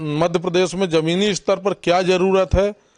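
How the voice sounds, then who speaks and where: The voice has fairly even intonation, and the sound is dry and close with no echo. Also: man. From Madhya Pradesh, Satna district. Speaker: politician. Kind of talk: interview.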